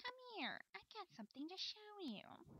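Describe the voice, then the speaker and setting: A woman performs a put-on character voice at an extremely high pitch with very wide pitch swings, keeping a moderate pace, and the sound is dry and close with no echo. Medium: read story. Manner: gloating, falsely cheerful.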